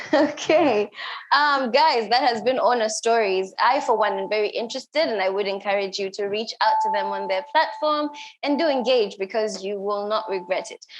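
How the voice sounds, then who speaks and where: With noticeable background noise behind her, a woman with an East African accent speaks at a moderate pace in a fairly high voice with lively intonation. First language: Swahili. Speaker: event host. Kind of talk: live event hosting. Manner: casual, searching for words.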